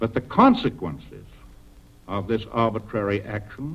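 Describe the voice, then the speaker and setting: A man with an American accent talks at a moderate pace in a solemn tone. His voice carries vocal fry. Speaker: president giving a national address. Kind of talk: formal 1940s radio address. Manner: solemn, measured, authoritative.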